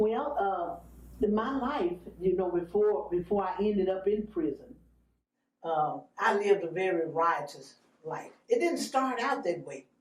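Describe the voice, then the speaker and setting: A woman at medium pitch, somewhat breathy, with lively intonation and a fairly slow pace. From Arkansas, West Memphis. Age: 60s. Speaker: evangelist. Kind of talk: testimony. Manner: halting.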